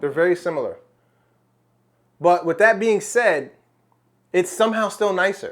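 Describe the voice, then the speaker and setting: A man speaks with an American accent. His pitch is high. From United States. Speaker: fragrance reviewer. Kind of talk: product review. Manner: casual, conversational with fillers; animated exclamations.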